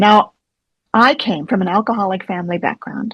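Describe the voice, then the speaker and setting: A woman speaks in a somewhat breathy voice. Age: 70s. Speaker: therapist. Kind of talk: interview.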